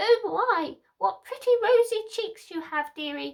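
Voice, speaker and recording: A woman puts on a squeaky, cackling character voice at extremely high pitch. Her intonation is lively, and her pace fairly slow. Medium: read story. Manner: wheedling.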